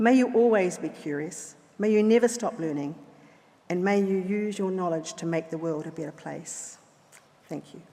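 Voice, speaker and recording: With a New Zealand accent, a woman speaks at a medium pitch and a moderate pace in a dark, mellow tone, her pitch varying in an ordinary way and her loudness swinging widely, with audible room echo. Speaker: honorary graduate, chemist. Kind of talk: acceptance speech. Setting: graduation ceremony in a hall.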